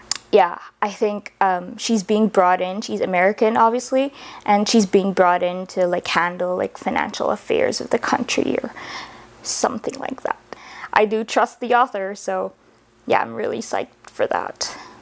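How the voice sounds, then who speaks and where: A woman with a medium-pitched voice talks at a moderate pace amid noticeable background noise. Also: ordinary pitch variation. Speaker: book reviewer. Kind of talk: casual vlog talk.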